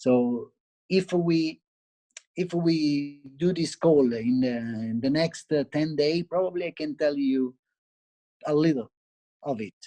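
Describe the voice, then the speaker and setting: With an Italian accent, a man speaks at a very slow pace, leaving long, frequent pauses. His fairly high pitch has a dark, mellow tone and ordinary pitch variation. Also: dry, close sound with no echo. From Italy. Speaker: barista and cafe owner. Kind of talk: interview. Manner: halting.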